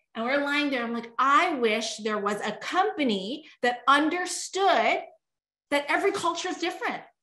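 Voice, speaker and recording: Amid audible room echo, a woman projects a raised voice at a moderate pace, her high pitch swinging very widely in an animated, bright, sharp tone. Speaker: network marketing leader. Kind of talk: sales pitch.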